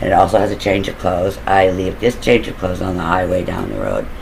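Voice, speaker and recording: There is noticeable background noise as a man with a very deep, low pitch speaks at a fairly quick pace. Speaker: storyteller recounting own crime plans. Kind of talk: casual monologue storytelling. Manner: mumbling at times.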